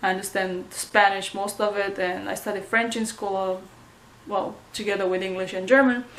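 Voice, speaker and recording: A woman in a Romanian accent, medium in pitch, at a moderate pace with monotone, flat intonation and audible room echo. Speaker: vlogger. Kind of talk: casual vlog update. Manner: hesitant, many fillers.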